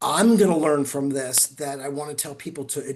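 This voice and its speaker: With lively intonation and a moderate pace, a man talks through noticeable background noise. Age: 60s. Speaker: attorney presenting webinar. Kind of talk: webinar Q&A.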